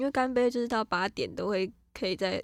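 On a very clean recording with a silent background, a woman speaks at a fairly quick pace in a normal speaking voice with ordinary pitch variation. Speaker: podcast co-host. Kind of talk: casual chat.

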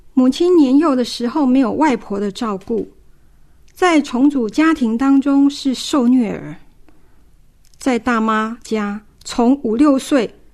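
Speaking at a very slow pace with long, frequent pauses, a woman with a high pitch shows ordinary pitch variation. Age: 50s. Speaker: family caregiver. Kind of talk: testimony.

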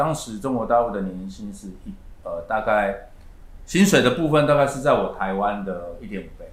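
A man speaks at a moderate pace. There is audible room echo. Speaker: real estate agency manager. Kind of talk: interview.

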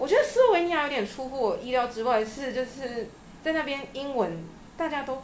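In a room with audible echo, a woman talks fairly quickly in a high voice full of lively intonation. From Taiwan, Changhua. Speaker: interview guest, former master's student in Germany. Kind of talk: casual interview.

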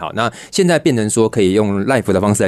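Speaking at a very fast pace, a man with a fairly low voice uses lively intonation. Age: 30s. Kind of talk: radio interview.

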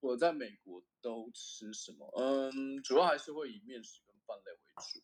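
A man talks at a fairly slow pace with hardly any pauses. His loudness swings widely. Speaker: semiconductor equipment engineer. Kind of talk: casual interview chat. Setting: remote call.

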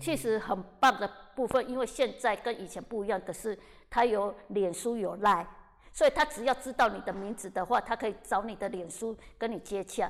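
Hers is an unremarkable speaking voice, pitched fairly high with ordinary variation. The woman keeps a moderate speed. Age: 50s. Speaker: actress. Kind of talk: casual interview chat.

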